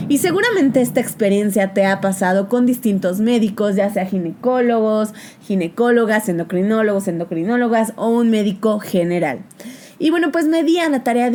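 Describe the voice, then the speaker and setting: Noticeable background noise runs beneath a woman talking at a medium pitch. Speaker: psychologist, podcast host. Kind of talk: podcast monologue.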